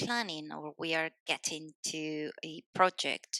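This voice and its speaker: Very slow speech in a Spanish accent, bright and sharp in tone, with a dry, close sound and no echo. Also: woman. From Spain. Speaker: civil engineer. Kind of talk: podcast interview.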